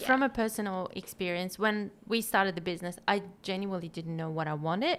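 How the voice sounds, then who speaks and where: Fairly quick speech from a woman at medium pitch, a plain, everyday voice with ordinary pitch variation. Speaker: podcast host. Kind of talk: casual podcast conversation.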